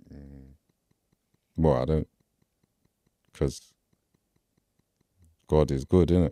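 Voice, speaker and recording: A man in a South London accent speaks very deep and low with a dark, mellow tone and fairly even intonation, at a fairly slow pace with long, frequent pauses. His loudness swings widely, and the sound is dry and close with no echo. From Peckham, South London. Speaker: rapper. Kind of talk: interview answer. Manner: casual, hesitant.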